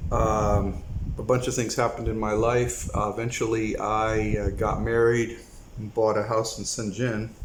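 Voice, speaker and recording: In an American accent, a man of medium pitch speaks at a moderate pace in a flat monotone, with noticeable background noise and audible room echo. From United States. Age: 60s. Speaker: retired expat video blogger. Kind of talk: casual monologue vlog. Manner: halting, many fillers.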